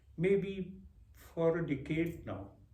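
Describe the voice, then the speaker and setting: Very slowly, a man speaks at a fairly high pitch with vocal fry, and the room echo is audible. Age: 60s. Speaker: vlogger. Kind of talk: reflective monologue. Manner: hesitant, with filler words.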